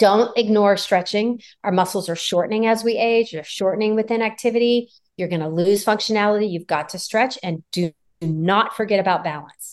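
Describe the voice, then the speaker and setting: Medium in pitch, a woman speaks at a fairly quick pace with ordinary pitch variation. She has a plain, everyday voice. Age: 50s. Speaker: physician, gynecologist. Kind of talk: interview. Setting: video call.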